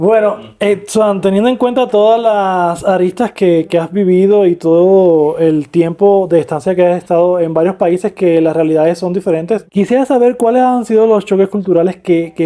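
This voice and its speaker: Here a woman has a dark, mellow tone at medium pitch. She keeps a moderate pace with ordinary pitch variation. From Cuba, Holguín. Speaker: podcast host. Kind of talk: podcast interview.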